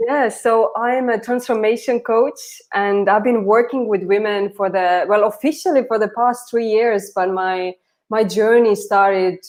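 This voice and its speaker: In an Estonian accent, a woman with a fairly high pitch talks at a moderate pace with ordinary pitch variation against a quiet background. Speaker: transformation coach. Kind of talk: casual chat.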